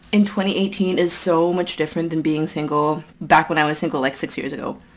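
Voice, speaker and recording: A woman talks at a fairly quick pace in an ordinary speaking voice, pitched fairly low. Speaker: eating vlogger. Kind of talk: casual vlog chat. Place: home room.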